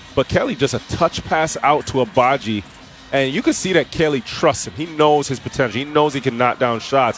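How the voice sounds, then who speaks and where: A man speaks at a fairly quick pace, his voice fairly high-pitched. Noticeable background noise sits under his ordinary pitch variation. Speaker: basketball color commentator. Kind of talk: live game analysis. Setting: radio broadcast booth. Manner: conversational, explanatory, with filler phrases.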